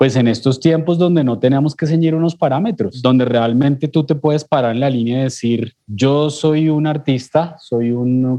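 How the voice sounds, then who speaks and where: Speaking at medium pitch and a moderate pace, a man has an ordinary speaking voice and ordinary pitch variation. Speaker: podcast host. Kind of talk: podcast interview.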